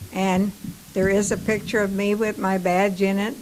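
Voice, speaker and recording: A woman talks at a moderate pace in a monotone, flat delivery. Her pitch is medium, and there is noticeable background noise. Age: 90s. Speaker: former wartime shipyard worker. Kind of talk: casual chat.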